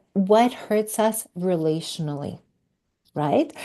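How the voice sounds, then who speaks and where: In a French accent, a woman speaks at a very slow pace with a dark, mellow tone. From Quebec. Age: 50s. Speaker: podcast guest, recovery coach. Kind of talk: interview conversation. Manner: halting.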